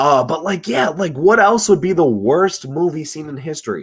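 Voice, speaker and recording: In a very clean recording with a silent background, a man speaks at a moderate pace with vocal fry and very wide pitch swings. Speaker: livestream host. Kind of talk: casual livestream chat. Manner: halting, repetitive.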